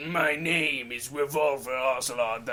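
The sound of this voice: In a put-on character voice, a man speaks at medium pitch. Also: fairly slow pace.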